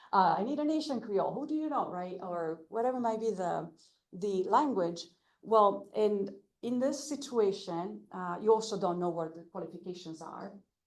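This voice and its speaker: Lively intonation and big swings in loudness at a moderate pace, with audible room echo. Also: woman, medium pitch for a woman. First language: not English. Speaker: language access advocate. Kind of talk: presentation. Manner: halting with many fillers.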